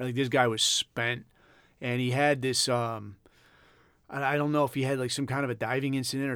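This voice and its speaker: A man with an American accent and an unremarkable speaking voice, fairly quick pace, fairly even intonation, on a very clean recording with a silent background. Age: 40s. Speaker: podcast host, former Navy SEAL. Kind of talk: casual monologue.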